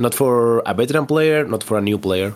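In a Spanish accent, this man keeps a moderate pace. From Spain. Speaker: competitive tabletop wargame player. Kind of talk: casual interview.

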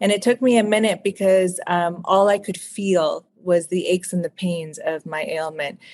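Speaking with hardly any pauses at a moderate pace, a woman has an ordinary speaking voice and ordinary pitch variation, with a dry, close sound and no echo. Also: medium pitch for a woman. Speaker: author. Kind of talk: interview. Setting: video call.

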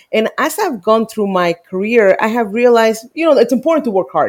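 A woman with a Spanish accent talks at a fairly quick pace, her pitch medium. The recording is very clean, with a silent background. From Mexico. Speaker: immigration lawyer and congressional district director. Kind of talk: interview.

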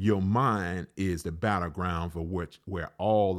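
In a very clean recording with a silent background, a man with an Alabama accent talks at a fairly slow pace in a very deep, low voice with ordinary pitch variation. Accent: Southern US (Alabama). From US South, Alabama. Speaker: pastor. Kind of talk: podcast sermon. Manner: repetitive, halting with fillers.

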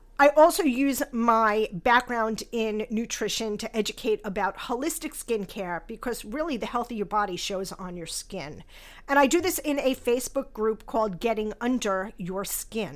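A woman with a normal speaking voice, fairly high pitch, lively intonation, big swings in loudness and a moderate pace, on a very clean recording with a silent background. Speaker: skincare company founder and podcast host. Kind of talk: scripted-style podcast monologue, intro episode. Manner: warm, candid, self-deprecating, chuckles.

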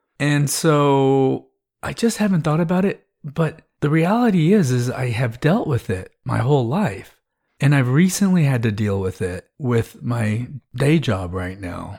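A man with an American accent, fairly high in pitch, at a fairly slow pace, somewhat breathy, with very wide pitch swings, on a very clean recording with a silent background. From Texas. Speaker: podcast host. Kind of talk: personal storytelling monologue.

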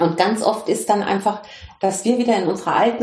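Somewhat breathy, a woman talks at a medium pitch. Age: 50s. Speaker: consciousness coach. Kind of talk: interview. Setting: video call.

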